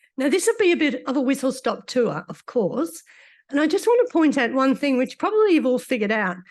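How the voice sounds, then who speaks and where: Someone with an Australian accent speaks at a fairly quick pace with very wide pitch swings. The background is quiet. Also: woman, high pitch for a woman. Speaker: doctor giving a conference talk. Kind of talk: lecture.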